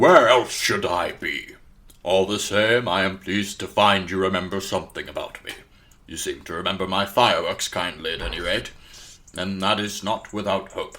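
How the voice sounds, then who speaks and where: On a very clean recording with a silent background, a man uses a put-on character voice at a moderate pace. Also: fairly low pitch for a man. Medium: audio drama. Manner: precise, wry, grandly teasing.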